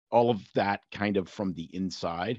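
This is a normal speaking voice. The background is quiet. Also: man. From Canada. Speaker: rural family doctor. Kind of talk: casual interview chat.

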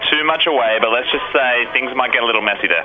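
A man talking at a very fast pace with ordinary pitch variation over noticeable background noise. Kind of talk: radio show parody infomercial. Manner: amped, fast, over-excited live-stream pitchman.

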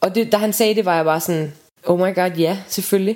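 A woman speaks at a fairly quick pace. Her medium pitch shows ordinary variation. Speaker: friend of the patient. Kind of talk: intimate conversation.

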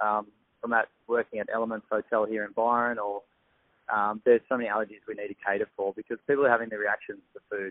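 A man speaks with an Australian accent at medium pitch. His delivery is very fast and flat, a monotone. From Australia, south of Sydney. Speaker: chef and health coach. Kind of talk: casual interview.

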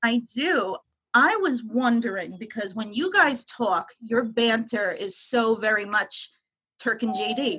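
The speaker has a New York accent and lively intonation. The pace is fairly slow. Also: woman, fairly high pitch for a woman. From Long Island, New York. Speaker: caller. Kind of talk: casual chat.

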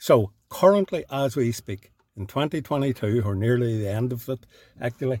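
With a Northern Irish accent, the speaker sounds somewhat breathy, using lively intonation at a moderate pace in a very clean recording with a silent background and a dry, close sound with no echo. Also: man. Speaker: podcast host. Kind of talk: podcast interview. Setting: studio.

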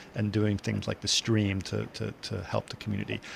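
A man's plain, everyday voice, fairly low in pitch and at a fairly quick pace, on a very clean recording with a silent background. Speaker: podcast host. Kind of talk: casual interview chat.

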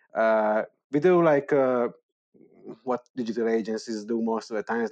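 Heard dry and close with no echo, a man speaks at a moderate pace and a medium pitch. He talks with a Hungarian accent. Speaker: startup founder of an ed-tech platform. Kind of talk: interview. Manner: halting with many fillers.

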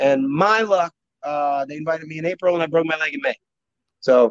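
A man speaks with a fairly high pitch and ordinary pitch variation. The sound is dry and close, with no echo. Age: 30s. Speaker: professional wrestler and schoolteacher. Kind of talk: casual chat.

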